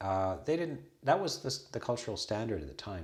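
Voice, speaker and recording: A man talks with a Canadian accent in a somewhat breathy voice. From western Canada. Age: 60s. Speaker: Buddhist monk and abbot. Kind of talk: casual conversation.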